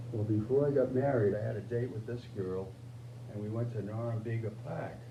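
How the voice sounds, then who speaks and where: A man with an American accent talks at a fairly quick pace in a medium pitch, his intonation monotone and flat. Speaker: World War II veteran. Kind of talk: oral history interview answer.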